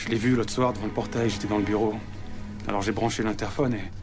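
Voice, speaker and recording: Music plays in the background. The speech runs at a very fast pace with monotone, flat intonation. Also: man, fairly low pitch for a man. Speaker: actor. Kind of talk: TV drama scene. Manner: pleading, confessional.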